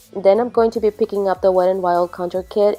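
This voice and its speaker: Medium-pitched woman's voice with fairly even intonation, music in the background. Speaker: beauty vlogger. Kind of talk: makeup tutorial narration.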